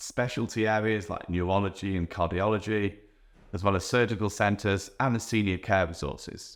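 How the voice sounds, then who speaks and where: A British accent at a moderate pace on a very clean recording with a silent background. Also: man. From England. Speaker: real estate agent. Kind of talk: presenter-style guide video.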